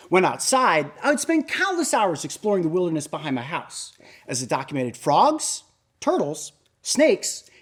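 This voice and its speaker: The speaker talks at a moderate pace with a Midwestern American accent. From US Midwest, northeastern Ohio. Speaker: TEDx speaker. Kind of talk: prepared talk.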